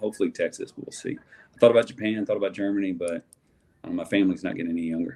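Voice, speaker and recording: A man with a strong Southern US accent talks at a very fast pace. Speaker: sports card collector. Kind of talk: casual chat.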